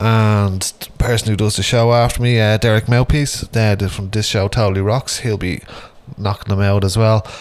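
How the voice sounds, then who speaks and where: Noticeable background noise under a moderate pace and monotone, flat intonation. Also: man, fairly low pitch for a man. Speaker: radio host. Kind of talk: radio DJ patter introducing metal tracks. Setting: radio studio broadcast. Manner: casual, rambling, filled with ums and uhs; relaxed, chatty.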